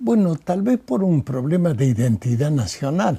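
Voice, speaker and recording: Somewhat breathy and dark, mellow in tone, a man's voice moves in very wide pitch swings, with a dry, close sound with no echo. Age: 90s. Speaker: poet. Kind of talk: interview.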